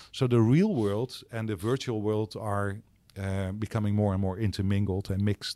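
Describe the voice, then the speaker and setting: The voice carries a dark, mellow tone with a Dutch accent. It comes from a very clean recording with a silent background. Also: man. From Netherlands. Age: 60s. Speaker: startup accelerator co-founder. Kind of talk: interview. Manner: halting.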